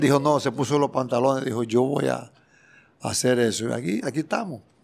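At a moderate pace, a man's pitch shifts in an ordinary way. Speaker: music producer and bandleader. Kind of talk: interview. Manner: halting. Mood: grateful, heartfelt. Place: studio. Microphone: handheld.

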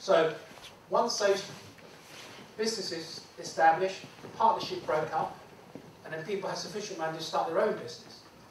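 A man with a high voice talks at a fairly quick pace and ordinary pitch variation, yet with long, frequent pauses. Audible room echo and light background noise are present. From Hong Kong, raised in the UK from age 10. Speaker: former police officer and public speaker. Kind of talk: lecture. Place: classroom. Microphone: camera far.

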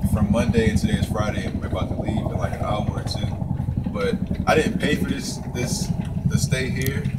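Loud background noise surrounds a man who talks very fast. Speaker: online marketer vlogger. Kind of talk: casual vlog chat. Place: waterside. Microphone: camera far.

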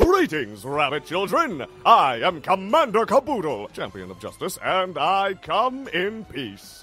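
A man's raised, projected voice, high in pitch and fairly slow, over faint music in the background. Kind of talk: sci-fi serial announcer parody. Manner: bombastic, hammy, upbeat.

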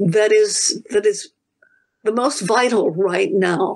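A female speaker with a quiet background. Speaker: professor. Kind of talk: interview. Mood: thoughtful, warm. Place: home room. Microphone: video call.

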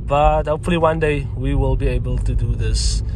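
A man speaks at a moderate pace, the sound dry with no echo and some light background noise behind him. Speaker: car vlogger. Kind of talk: casual vlog chat. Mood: upbeat, excited. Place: car. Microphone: phone near.

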